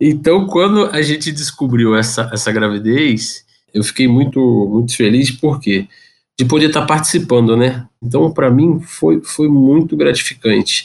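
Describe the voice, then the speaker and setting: A man talks with an ordinary speaking voice at a fairly slow pace. His loudness stays very even throughout. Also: medium pitch for a man. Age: 30s. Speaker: electrical engineer and father. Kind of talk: casual interview chat.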